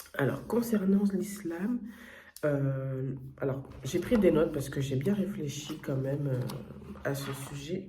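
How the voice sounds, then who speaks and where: The speech moves at a very slow pace with long, frequent pauses. Noticeable background noise sits behind it. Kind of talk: testimony. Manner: hesitant, many fillers and self-corrections.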